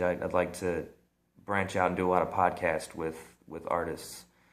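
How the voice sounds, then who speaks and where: A man with an American accent speaks at a moderate pace in a very deep, low pitch. There is audible room echo. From US Midwest, central Illinois. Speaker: vlogger. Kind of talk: casual vlog monologue. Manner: halting, many repeats and fillers.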